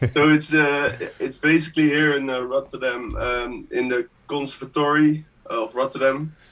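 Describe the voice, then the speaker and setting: A man with a Dutch accent speaks at a fairly high pitch. His intonation is monotone and flat. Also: moderate pace. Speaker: music producer. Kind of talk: interview on live stream. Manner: halting.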